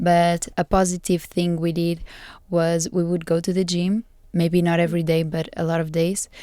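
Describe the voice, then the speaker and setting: A woman's fairly low, dark, mellow voice in a Portuguese accent, monotone and flat, on a very clean recording with a silent background. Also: moderate pace. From Portugal. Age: 20s. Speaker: master's student. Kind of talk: casual chat.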